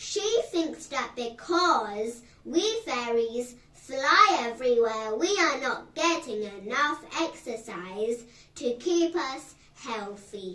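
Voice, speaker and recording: A woman performs a put-on character voice at a high pitch. She speaks at a very slow pace. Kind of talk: bedtime story. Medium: read story. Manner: brisk, schoolteacherly.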